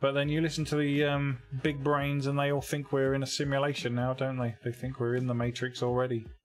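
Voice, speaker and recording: A man at a fairly high pitch, fairly quick and with hardly any pauses, monotone and flat in intonation, his loudness very even, with music in the background. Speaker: game developer streamer. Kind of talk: casual live stream chat. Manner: sounds sarcastic.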